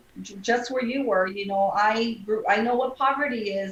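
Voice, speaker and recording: An American accent shapes a woman's unremarkable speaking voice, which sits fairly high in pitch, moves at a moderate pace and shows ordinary pitch variation. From South Texas (Brownsville area). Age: 40s. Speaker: lawyer and judicial candidate. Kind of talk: interview.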